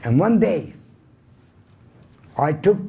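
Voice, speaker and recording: A man with a Hungarian accent speaks at a fairly slow pace in a dark, mellow, somewhat breathy tone. His intonation is lively, and there is audible room echo. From Hungary, Budapest. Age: 80s+. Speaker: Holocaust survivor speaker. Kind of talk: lecture.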